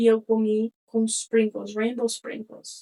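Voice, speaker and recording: An unremarkable speaking voice from a woman, fairly high in pitch and fairly slow in pace, in a dry, close sound with no echo. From Connecticut, US (Brazilian family). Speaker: podcast host. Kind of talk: casual monologue. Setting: studio.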